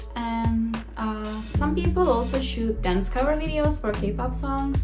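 A woman's voice against clear background music. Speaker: culture vlogger. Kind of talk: casual vlog chat. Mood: friendly, upbeat. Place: home room. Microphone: phone near.

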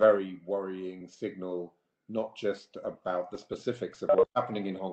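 Over a quiet background with audible room echo, a man speaks at a fairly low pitch in a dark, mellow tone with monotone, flat intonation. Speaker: politician panelist. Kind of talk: prepared remarks in a webinar. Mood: serious, concerned. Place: home room. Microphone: video call.

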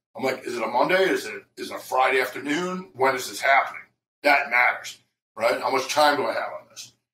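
Big swings in loudness mark this man's fairly quick delivery. Light background noise and audible room echo are present. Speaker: trading educator. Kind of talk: interview. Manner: animated.

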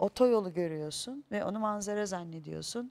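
Against a quiet background, a woman of medium pitch speaks with lively intonation. She has an ordinary speaking voice. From Istanbul (Pendik), Turkey; Turkey. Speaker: stage actress. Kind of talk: talk show interview. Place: studio. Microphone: lapel.

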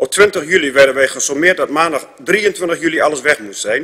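Over a quiet background, a man speaks at a moderate pace with ordinary pitch variation. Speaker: council speaker. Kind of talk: council debate speech. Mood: critical, indignant. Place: meeting room.

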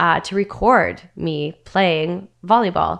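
Very slow speech comes from a woman with a Canadian accent. Her pitch variation is ordinary, and the background is quiet. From Northern Ontario, Canada; Ontario, Canada. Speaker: Muay Thai fighter and radio host; radio host. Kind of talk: casual interview chat. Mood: animated, storytelling. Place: studio. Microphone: studio mic.

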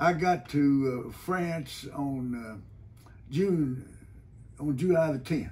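Very slowly and with long, frequent pauses, a man with a fairly high pitch talks in a somewhat breathy voice with ordinary pitch variation. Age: 80s+. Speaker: WWII veteran, retired judge. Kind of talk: interview answer. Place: office. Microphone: camera far.

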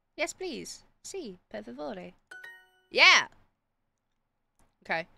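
The speech moves at a very slow pace. Music sits in the background. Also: woman. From Britain. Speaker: streamer. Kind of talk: live game stream chat. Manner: animated.

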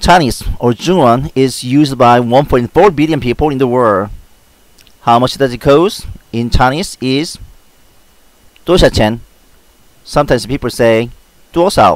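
With a Korean accent, a man talks at a fairly slow pace in a medium pitch. His pitch varies in an ordinary way, and he takes long, frequent pauses. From South Korea. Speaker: language tutor video creator. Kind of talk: tutorial. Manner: formal, instructional, repeating phrases.

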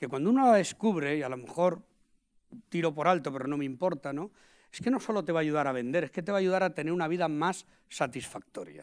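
The man's voice is high-pitched, with lively intonation and a very fast pace. The background is quiet. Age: 50s. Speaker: invited sales expert. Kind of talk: talk interview before an audience. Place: hall. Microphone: lapel.

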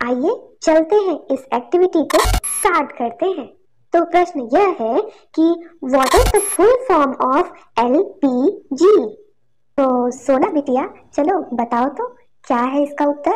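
At a moderate pace, a woman performs a cartoonish character voice pitched extremely high. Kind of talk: classroom explainer, cheerful educational cartoon. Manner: warm, encouraging, playful.

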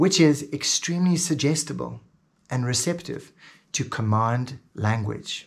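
A man speaks at a fairly slow pace, his tone enthusiastic and somewhat breathy. His intonation is lively. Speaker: hypnosis teacher. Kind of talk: tutorial; hypnotic induction demo, slow soothing delivery. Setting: video. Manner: instructional, enthusiastic. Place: home room.

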